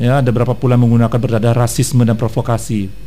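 A man speaks at a very fast clip. Noticeable background noise runs behind him. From North Sumatra (Batak). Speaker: radio co-host. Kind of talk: casual morning radio chat. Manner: loud.

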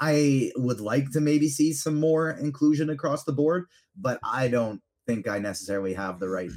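An enthusiastic man speaks at a fairly high pitch and a moderate pace. His intonation is lively, and his loudness swings widely. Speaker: podcast guest, fandom media host. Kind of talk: casual chat.

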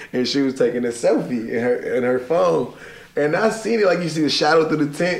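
Against noticeable background noise, a man speaks very fast in a fairly high pitch. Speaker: podcast co-host. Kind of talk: casual banter.

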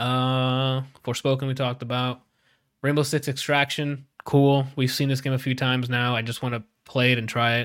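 A man with an unremarkable speaking voice and medium pitch talks at a moderate pace in a very clean recording with a silent background. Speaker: podcast host. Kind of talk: casual banter among gamer friends. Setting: live video recording stream. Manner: casual, profane, upbeat.

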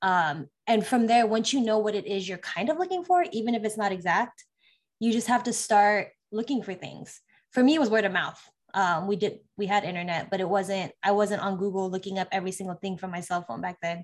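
A woman talks at a fairly quick pace with a medium pitch and ordinary pitch variation. It is an ordinary speaking voice. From California. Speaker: army officer and tech project manager. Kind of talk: interview.

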